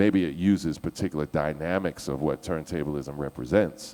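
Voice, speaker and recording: Animated speech in an American accent at a moderate pace, with ordinary pitch variation. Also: man. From US East Coast. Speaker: DJ. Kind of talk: panel discussion.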